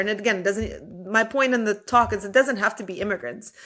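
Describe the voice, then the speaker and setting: Speaking in an ordinary speaking voice, a woman talks with a fairly high pitch that varies in an ordinary way. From immigrant, came to US as a teen. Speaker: entrepreneur and speaker. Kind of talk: podcast interview.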